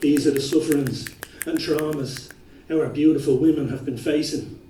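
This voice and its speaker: Noticeable background noise surrounds a man who speaks at a moderate pace with a fairly high pitch. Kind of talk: slam poetry performance.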